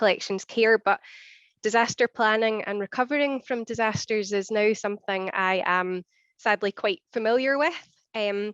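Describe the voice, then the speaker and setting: A Scottish accent at a moderate pace, with dry, close sound with no echo and a quiet background. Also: woman. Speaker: archivist and collections manager. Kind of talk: conference presentation. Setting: seminar with audience.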